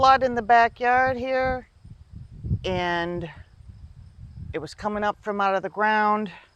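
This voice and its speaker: A woman's fairly high voice with a Southern US accent, very slow, with ordinary pitch variation. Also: long, frequent pauses. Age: 50s. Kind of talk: casual talk to camera. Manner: casual, hesitant.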